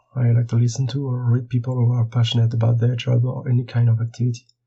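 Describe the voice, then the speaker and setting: Speaking fairly quickly in a French accent, the man has a medium pitch, a somewhat breathy quality, and monotone, flat intonation. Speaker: board game illustrator. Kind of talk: prepared monologue.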